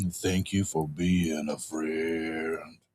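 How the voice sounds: Using a put-on character voice, a man talks in a very deep, low pitch with monotone, flat intonation.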